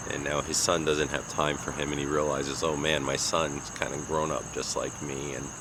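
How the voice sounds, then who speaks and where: Speaking at a moderate pace with hardly any pauses, a man with an American accent uses a very deep, low pitch and a monotone, flat intonation, over noticeable background noise and audible room echo. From US Northeast, Long Island, New York. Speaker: vlogger. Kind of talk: casual monologue. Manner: halting, with many fillers.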